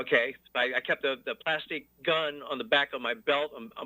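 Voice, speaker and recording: A man at a fairly quick pace. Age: 60s. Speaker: caller. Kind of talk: call-in conversation. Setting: phone call. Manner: halting, many fillers.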